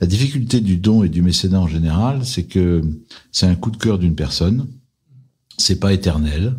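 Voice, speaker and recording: Very deep and low in pitch, a man's voice has a dark, mellow, somewhat breathy tone with lively intonation. His loudness stays very even, broken by long, frequent pauses. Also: moderate pace. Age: 60s. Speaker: private equity investor. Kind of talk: interview.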